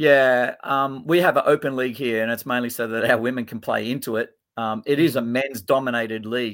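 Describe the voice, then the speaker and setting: A man with an Australian accent at a medium pitch, fairly even intonation and a fairly quick pace, in a very clean recording with a silent background. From Australia, Sydney. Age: 50s. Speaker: futsal coach. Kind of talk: interview.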